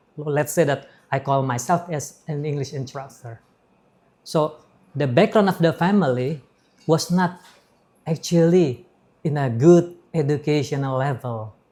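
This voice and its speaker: Long, frequent pauses break up this man's fairly slow speech. His fairly high, somewhat breathy voice has a dark, mellow tone and ordinary pitch variation. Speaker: English instructor. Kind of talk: interview. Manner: halting.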